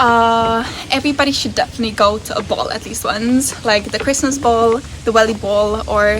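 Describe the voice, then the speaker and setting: A woman with a Czech accent talks at a fairly quick pace over noticeable background noise. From Czech Republic. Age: 20s. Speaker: university student. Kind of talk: interview answer.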